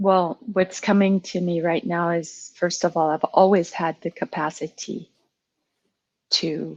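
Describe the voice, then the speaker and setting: With a French accent, the speaker talks at a very slow pace, leaving long, frequent pauses. The intonation is fairly even, and the sound is dry and close with no echo. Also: woman. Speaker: coaching client. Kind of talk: coaching session conversation. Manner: halting.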